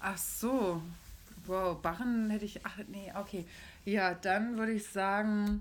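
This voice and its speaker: A woman's medium-pitched voice drags along at a very slow pace. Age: 30s. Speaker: podcast co-host. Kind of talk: casual chat. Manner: animated.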